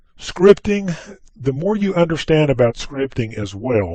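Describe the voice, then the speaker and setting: Speaking with a slight Southern US accent, a man has a dark, mellow tone. His intonation is lively. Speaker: software trainer. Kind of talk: tutorial. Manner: casual, conversational.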